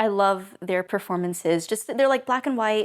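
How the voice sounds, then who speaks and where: The delivery is rather brisk. It is an ordinary speaking voice. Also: woman. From United States. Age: 20s. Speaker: classical violinist and film student. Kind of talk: documentary interview answer.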